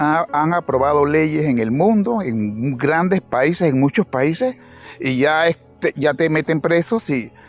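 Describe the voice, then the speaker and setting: Very slow speech from a man with a fairly high pitch, lively intonation and very even loudness, music in the background, and a dry, close sound with no echo. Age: 60s. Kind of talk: religious reflection monologue. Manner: halting, with frequent restarts.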